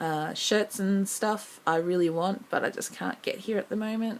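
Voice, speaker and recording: A woman with an Australian accent, fairly even intonation and a moderate pace. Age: 20s. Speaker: vlogger. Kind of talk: audition vlog. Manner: casual, many filler ums.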